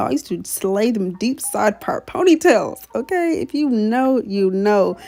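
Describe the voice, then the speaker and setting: A woman speaks with music in the background. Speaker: beauty vlogger. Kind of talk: tutorial. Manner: fast; stutter.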